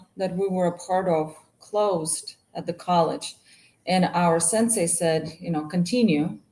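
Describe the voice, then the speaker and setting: With a Russian accent, a woman speaks at a very slow pace and fairly low pitch with ordinary pitch variation. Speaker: martial arts instructor and business owner. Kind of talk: casual interview chat.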